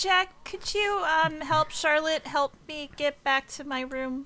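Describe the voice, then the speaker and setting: A woman in a put-on character voice speaks at a fairly slow pace, high-pitched and squeaky, with ordinary pitch variation and big swings in loudness. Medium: actual play. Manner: nervous, rambling.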